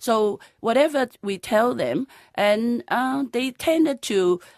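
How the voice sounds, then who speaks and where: In a very clean recording with a silent background and a dry, close sound with no echo, a woman speaks at a very slow pace. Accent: Cantonese. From Hong Kong. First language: Cantonese. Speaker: conservation trust founder. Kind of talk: radio interview. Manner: halting, many fillers.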